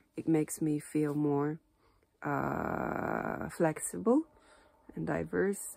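With a Japanese accent, a woman speaks in a dry sound with no echo. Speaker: Japanese teacher. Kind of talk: casual talk to camera. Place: home room. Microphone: phone near.

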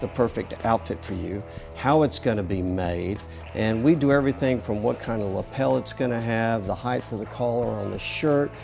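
The speech moves at a moderate pace. Clear music sounds in the background. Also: man. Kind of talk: interview answer. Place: shop. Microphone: lapel.

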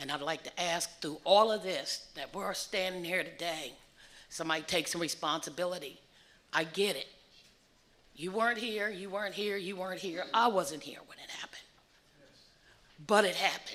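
The speaker has an American accent and a bright, sharp tone, with ordinary pitch variation. The pace is moderate, broken by long, frequent pauses. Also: woman, medium pitch for a woman. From US Mid-Atlantic (Frederick County, Maryland). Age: 60s. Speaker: public hearing speaker, descendant of lynching victim. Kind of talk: public testimony. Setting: public hearing.

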